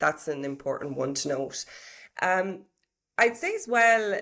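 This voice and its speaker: Recorded very cleanly against a silent background, a woman with an Irish accent shows ordinary pitch variation. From Ireland. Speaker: HR professional and property business owner. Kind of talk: interview.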